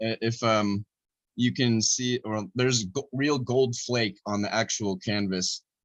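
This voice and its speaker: A normal speaking voice at a fairly slow pace, fairly even in intonation, with a dry, close sound and no echo. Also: man, medium pitch for a man. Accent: American. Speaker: artist. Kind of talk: interview.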